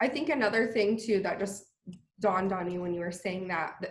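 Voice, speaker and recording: Fairly even intonation amid audible room echo. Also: woman. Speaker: physical therapist and CBD business owner. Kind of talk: interview.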